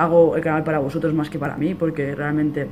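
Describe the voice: At a fairly quick pace, a man speaks with a fairly high pitch, a slightly mellow tone and fairly even intonation.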